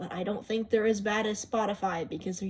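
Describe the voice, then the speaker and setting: Noticeable background noise sits behind the recording. A woman speaks at a medium pitch with monotone, flat intonation. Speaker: YouTuber showing phone apps. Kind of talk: casual video walkthrough. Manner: odd, unnatural tone.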